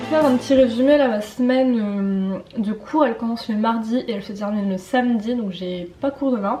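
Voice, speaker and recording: With hardly any pauses, a woman talks at a fairly high pitch and ordinary pitch variation. Noticeable background noise runs underneath. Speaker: student vlogger. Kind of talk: casual vlog talk. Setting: at home in the evening. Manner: fast; animated, tripping over words.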